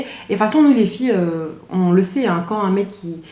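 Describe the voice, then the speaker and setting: A woman talks at a fairly quick pace in a strong Belgian accent, her pitch medium with ordinary variation. Noticeable background noise runs behind her. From Belgium (Brussels area). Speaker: YouTuber. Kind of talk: casual storytelling vlog. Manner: animated.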